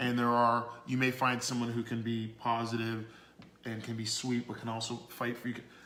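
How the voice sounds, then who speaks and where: Audible room echo colors the voice of a man speaking at medium pitch. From Canada, Toronto. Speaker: business owner, dating advice guest. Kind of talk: podcast interview. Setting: livestream on social media.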